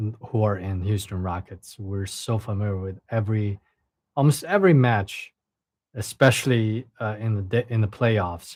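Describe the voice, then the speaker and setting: In a Chinese accent, a man talks at a fairly slow pace and a fairly low pitch. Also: ordinary pitch variation. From China. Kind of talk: casual livestream talk.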